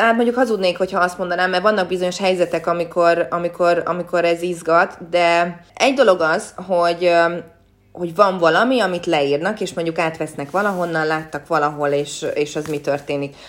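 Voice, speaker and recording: A woman talks fairly quickly, her pitch fairly low and its variation ordinary. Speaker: sports reporter and former athlete. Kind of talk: interview. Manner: hesitant, many repeated words.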